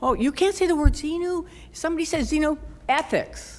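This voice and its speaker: A woman with an American accent at a fairly quick pace. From US Midwest, Chicago suburbs. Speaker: former cult member. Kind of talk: conference talk. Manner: animated.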